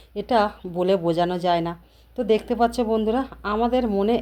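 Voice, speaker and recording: The recording is very clean, its background silent. A woman's voice carries a dark, mellow tone. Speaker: lifestyle vlogger. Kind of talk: casual vlog narration. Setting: office event with stage.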